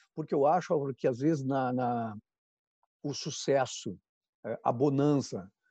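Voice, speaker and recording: A man's dark, mellow tone at a medium pitch, fairly slow pace, dry and close with no echo over a quiet background. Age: 50s. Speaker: branding consultant and speaker. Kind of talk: interview on live stream.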